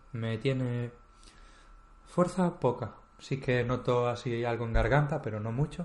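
A man speaks at a fairly slow pace with long, frequent pauses, his voice somewhat breathy, medium in pitch and ordinary in its pitch variation. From Spain, Galicia (Vigo). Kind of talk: casual chat.

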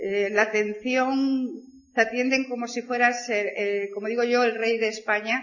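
A woman's fairly high voice, an ordinary speaking voice, with fairly even intonation at a fairly slow pace. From Spain, province of Burgos. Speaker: network marketing speaker. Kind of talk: motivational talk.

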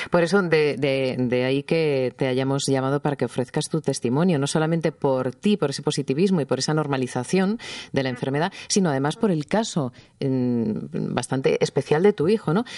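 In a dry, close sound with no echo, a woman talks at a moderate pace with a very deep, low pitch, a dark, mellow tone and lively intonation. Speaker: radio health show host. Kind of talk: radio talk show. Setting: radio studio.

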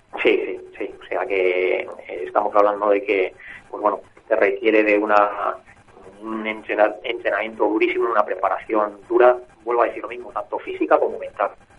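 A man talks at a moderate pace with big swings in loudness. Noticeable background noise is present. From Barcelona, Spain. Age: 40s. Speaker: amateur marathon runner. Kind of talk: radio interview. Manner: hesitant, many fillers.

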